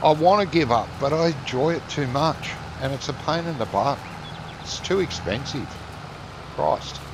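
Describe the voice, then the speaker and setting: Noticeable background noise sits behind a man speaking at a fairly high pitch with ordinary pitch variation. His pace is moderate, with long, frequent pauses. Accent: Australian. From Australia. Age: 60s. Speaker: gaming streamer. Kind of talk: casual chat.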